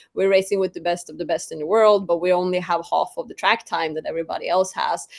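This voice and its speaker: A woman talks at a very fast pace. She speaks with a Swedish accent. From Sweden. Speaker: drag racer. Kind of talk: interview. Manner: animated.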